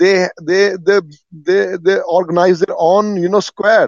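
A high-pitched man with an Indian accent talks at a fairly slow pace, keeping fairly even intonation and taking long, frequent pauses. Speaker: caller. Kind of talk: casual opinionated conversation. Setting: phone call.

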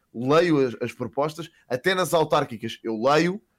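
At a moderate pace, a man with fairly high pitch, ordinary pitch variation and an unremarkable speaking voice talks in a very clean recording with a silent background. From Portugal, Lisbon area (Queluz/Sintra). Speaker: streamer. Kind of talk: casual chat.

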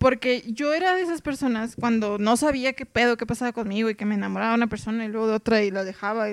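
A woman with ordinary pitch variation and a fairly high pitch talks very fast. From Mexicali, Baja California, Mexico. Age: 30s. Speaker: sociologist, polyamory researcher. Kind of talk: casual interview chat.

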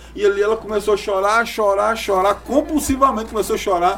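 Male speech, fairly brisk, amid noticeable background noise. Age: 30s. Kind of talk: podcast interview.

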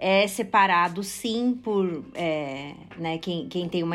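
This woman has a medium-pitched voice. Her pitch varies in an ordinary way. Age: 30s. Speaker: fashion social project founder. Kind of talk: interview.

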